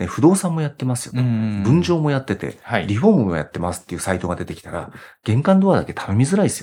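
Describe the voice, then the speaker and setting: A dark, mellow tone at a very fast pace, very wide pitch swings and big swings in loudness, in a very clean recording with a silent background. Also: man, medium pitch for a man. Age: 50s. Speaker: company president in web marketing for renovation. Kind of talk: interview.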